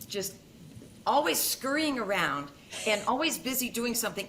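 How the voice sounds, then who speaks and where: A woman with an American accent speaks at a moderate pace with lively intonation against noticeable background noise. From US Midwest. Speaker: veterinary dermatologist. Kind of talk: podcast interview.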